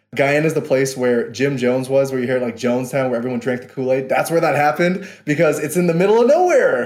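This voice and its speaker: A medium-pitched male voice at a very fast pace. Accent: New York. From New York (Queens). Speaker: podcast guest, son of Guyanese immigrants. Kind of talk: casual interview chat.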